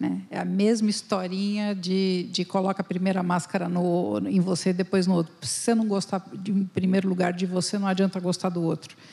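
A woman with a dark, mellow, somewhat breathy tone speaks at a moderate pace with hardly any pauses. Her medium pitch stays in a monotone, flat intonation. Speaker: company founder, HR consultant. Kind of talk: panel discussion. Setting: stage with audience.

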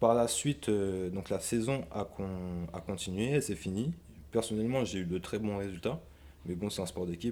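A man's voice has a dark, mellow tone and a fairly low pitch at a moderate pace. The recording is very clean, with a silent background. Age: 20s. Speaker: sports coach and former American football player. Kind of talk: casual interview. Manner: halting, with frequent hesitations.

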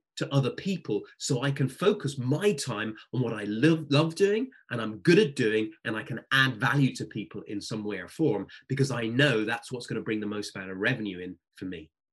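A somewhat breathy man speaks at medium pitch with lively intonation. His pace is moderate. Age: 40s. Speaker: sales coach and speaker. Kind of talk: interview.

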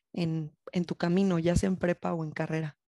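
A fairly low-pitched woman with a dark, mellow tone at a fairly slow pace, against a quiet background. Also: dry, close sound with no echo. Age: 20s. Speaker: university student ambassador. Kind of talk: casual chat.

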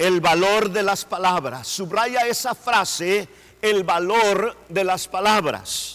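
A man's high-pitched voice at a very slow pace, with ordinary pitch variation, very even loudness and noticeable background noise. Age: middle-aged. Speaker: pastor. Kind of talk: sermon.

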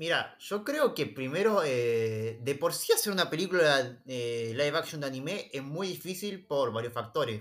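A man in a Rioplatense accent speaks at a fairly high pitch and a moderate pace, with lively intonation and hardly any pauses. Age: 30s. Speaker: film and anime fan. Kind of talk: casual chat.

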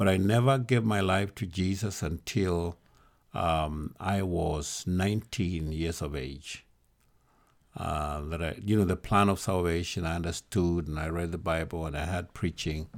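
On a very clean recording with a silent background, a man with a Kenyan accent speaks at a fairly slow pace with a very deep, low pitch and ordinary pitch variation. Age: 70s. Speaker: bishop, church leader. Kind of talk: interview conversation.

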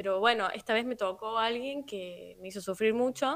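A woman with an ordinary speaking voice, fairly high in pitch, at a moderate pace and with ordinary pitch variation. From Argentina, La Rioja (city). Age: 30s. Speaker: musician. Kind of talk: casual interview. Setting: remote live radio interview.

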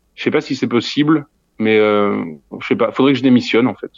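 Against a quiet background, a man talks at a medium pitch and a fairly quick pace. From Lorraine, France (near Nancy). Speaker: audio fiction creator. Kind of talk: interview. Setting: remote call from a theatre hall. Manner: halting.

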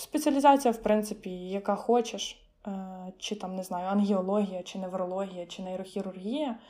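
The voice has a dark, mellow tone, ordinary pitch variation, a moderate pace and big swings in loudness. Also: woman, medium pitch for a woman. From Ukraine, Khmelnytskyi. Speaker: medical student. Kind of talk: casual interview.

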